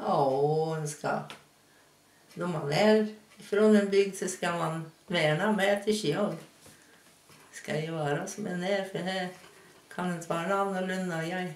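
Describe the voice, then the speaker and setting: Delivered at a very slow pace with long, frequent pauses, the speech carries a Hälsingland accent and audible room echo. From Hälsingland, Sweden. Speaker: local resident interviewed about dialect. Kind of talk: interview answer. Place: kitchen.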